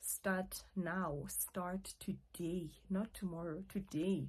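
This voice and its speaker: This woman's voice sits at a medium pitch and is somewhat breathy, with a dark, mellow tone. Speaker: YouTuber, online English tutor. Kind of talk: casual vlog talk to camera. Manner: stuttering, halting.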